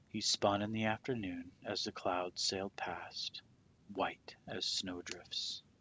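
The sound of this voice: Ordinary pitch variation runs through an unforced reading voice here.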